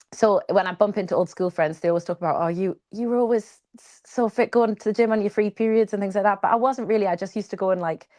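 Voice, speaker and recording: A woman with a Geordie accent talks very fast at a medium pitch, with hardly any pauses, ordinary pitch variation and big swings in loudness. The sound is dry and close with no echo, over a quiet background. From northern England, Newcastle. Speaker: triathlete. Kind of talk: interview conversation. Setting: live podcast with small audience.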